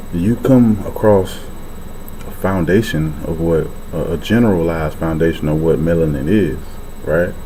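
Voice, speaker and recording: Quiet and very deep, a man speaks at a moderate pace with ordinary pitch variation and long, frequent pauses, with audible room echo and noticeable background noise. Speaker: vlogger. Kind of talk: casual vlog talk. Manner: speaking low, quiet.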